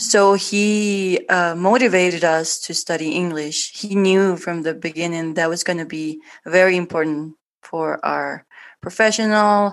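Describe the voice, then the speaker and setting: A woman's medium-pitched voice in a Spanish accent, fairly slow, with fairly even intonation and a quiet background. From Guatemala. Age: 30s. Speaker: artist and former administrator. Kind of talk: interview. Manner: halting.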